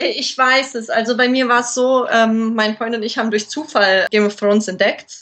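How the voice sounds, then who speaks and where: Over noticeable background noise, a woman with a fairly high voice talks at a moderate pace with fairly even intonation and hardly any pauses. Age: 20s. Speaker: model, cosplayer and platform founder. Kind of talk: casual interview.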